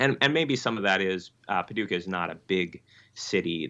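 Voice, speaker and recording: A man with a slight Michigan accent speaks in a very deep, low voice. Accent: slight nasal upper Midwest Michigan. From Michigan, US upper Midwest. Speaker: Lutheran pastor. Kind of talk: interview conversation. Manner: halting, many fillers.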